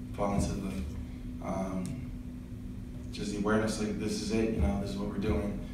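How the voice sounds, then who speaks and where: There is noticeable background noise and strong room echo. A man talks at a moderate pace. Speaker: college football player. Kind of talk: press interview. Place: meeting room.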